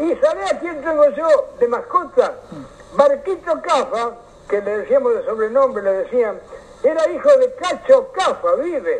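Noticeable background noise behind a man with a Rioplatense accent, his voice extremely high for a man, fairly slow, with very wide pitch swings. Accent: Argentine Spanish, rioplatense. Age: 80s+. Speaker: local historian, elderly former footballer. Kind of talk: radio interview, casual reminiscing.

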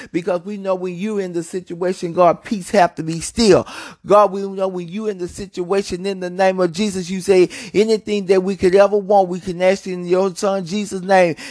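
Using a monotone, flat intonation, a man with a high pitch speaks at a moderate pace. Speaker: prayer leader. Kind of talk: fervent intercessory prayer, rhythmic repeated petitions ('Loose our mind, Lord Jesus'). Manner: impassioned and pleading, building intensity; repetitive cadence, punctuating every phrase with 'Lord Jesus'.

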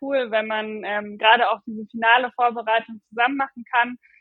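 Her pitch fairly high, a woman speaks at a moderate pace with monotone, flat intonation. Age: 20s. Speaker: middle-distance runner. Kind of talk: casual interview.

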